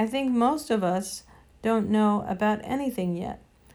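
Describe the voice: The clip is plain reading aloud.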